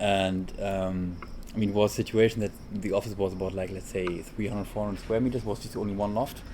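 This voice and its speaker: A man's fairly low mumbling, very fast and in a flat monotone. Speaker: architect. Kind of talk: casual chat. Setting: recorded on the road, single directional mic.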